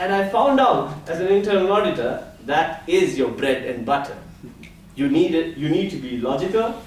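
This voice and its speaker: Loud and high-pitched, a man speaks at a moderate pace with very wide pitch swings, and room echo can be heard. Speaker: public speaking club member. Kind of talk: prepared speech. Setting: stage with audience. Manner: animated.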